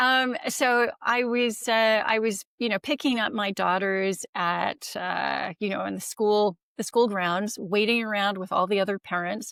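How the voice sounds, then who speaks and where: In a very clean recording with a silent background and a dry, close sound with no echo, a woman speaks at a fairly slow pace in an unremarkable speaking voice, her medium pitch showing ordinary variation. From United States. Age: 60s. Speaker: longevity expert. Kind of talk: interview.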